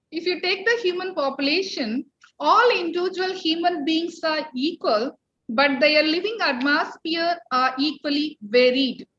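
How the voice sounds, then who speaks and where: At a fairly slow pace, a woman speaks in an extremely high pitch with a bright, sharp tone. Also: lively intonation. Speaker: college principal. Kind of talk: welcome speech. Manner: formal.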